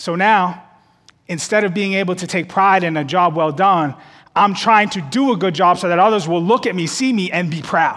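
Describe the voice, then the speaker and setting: A high-pitched man at a moderate pace with ordinary pitch variation and audible room echo. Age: 30s. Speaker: associate pastor. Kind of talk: sermon. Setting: church service with live audience and online stream.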